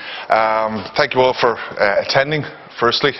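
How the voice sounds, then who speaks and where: A man speaks with an Irish accent. Noticeable background noise runs behind him. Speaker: event host. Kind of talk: event introduction to live audience. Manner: fast.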